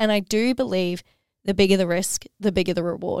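Close and dry with no echo, a woman's medium-pitched, animated voice comes through on a very clean recording with a silent background. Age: 20s. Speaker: podcast host. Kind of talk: solo motivational monologue.

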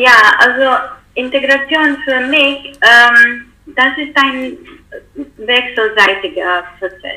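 High-pitched and very slow, a woman speaks with long, frequent pauses and ordinary pitch variation. Noticeable background noise runs underneath. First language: not German (speaking German). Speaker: political scientist, researcher. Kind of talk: interview. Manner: halting, many fillers.

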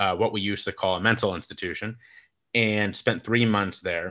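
Speaking with an American accent, a man with a fairly low pitch has a bright, sharp tone and fairly even intonation against a quiet background. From United States. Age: 30s. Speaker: mental health speaker and podcaster. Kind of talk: casual interview conversation.

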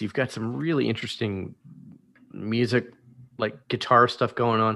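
Speaking with an American accent, a man has a bright, sharp tone at a medium pitch with ordinary pitch variation. The recording is very clean, with a silent background. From Washington DC area. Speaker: podcast host. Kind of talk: casual interview chat.

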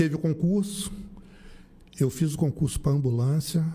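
This man's voice sits fairly high and has a dark, mellow tone that is somewhat breathy. His intonation is lively. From Rio de Janeiro, Brazil. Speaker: municipal driver. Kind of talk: casual interview.

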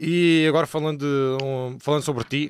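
A man with a fairly high pitch talks at a fairly quick pace on a very clean recording with a silent background and a dry, close sound with no echo. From Portugal. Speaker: streamer and rapper. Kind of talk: casual chat. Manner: animated.

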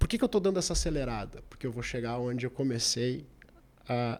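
Here is a plain, everyday voice. It keeps a moderate pace. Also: man. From Porto Alegre, southern Brazil. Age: 40s. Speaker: restaurant owner. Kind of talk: interview.

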